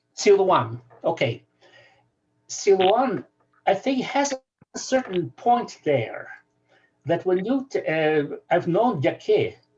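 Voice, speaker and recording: Speaking very slowly with long, frequent pauses, a woman with a Ukrainian accent and medium pitch uses vocal fry and swings her pitch very widely. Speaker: scholar. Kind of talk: video call discussion.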